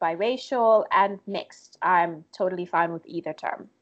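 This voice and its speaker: A woman speaks fairly slowly at medium pitch with lively intonation. Her tone is bright and sharp. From Tanzania. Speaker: digital content creator. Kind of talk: interview conversation.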